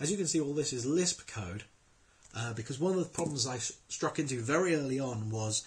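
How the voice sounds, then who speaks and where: A man speaks at a fairly quick pace with lively intonation. His voice is medium in pitch and somewhat breathy. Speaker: programmer. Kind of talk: screencast tutorial. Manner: casual.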